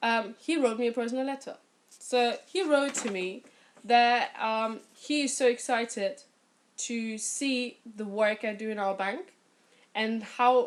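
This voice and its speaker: A woman in a British accent, fairly high in pitch and animated in tone, at a fairly slow pace. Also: ordinary pitch variation. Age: 20s. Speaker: bank financial consultant and youth leader. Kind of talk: testimony.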